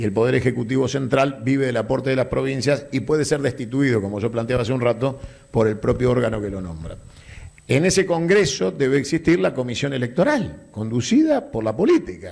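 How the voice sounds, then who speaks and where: A man talks at a fairly quick pace in a plain, everyday voice, his medium pitch carried by lively intonation. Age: 50s. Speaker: political speaker. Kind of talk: public Q&A talk.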